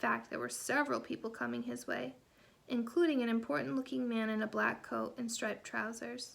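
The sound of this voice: An unforced reading voice carries the whole clip.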